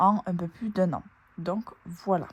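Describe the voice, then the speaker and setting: Someone speaks in a southern French accent with a somewhat breathy voice and fairly even intonation. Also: woman. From southern France, Toulouse area. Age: 20s. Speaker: nurse and family budget vlogger. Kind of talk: casual budget vlog talk. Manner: hesitant, frequent fillers.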